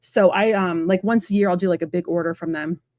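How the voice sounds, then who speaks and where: A woman speaks at a fairly quick pace in a medium pitch. The sound is dry and close, with no echo. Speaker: psychic medium and tarot reader. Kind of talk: live tarot reading, casual chat. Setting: live stream. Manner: fast.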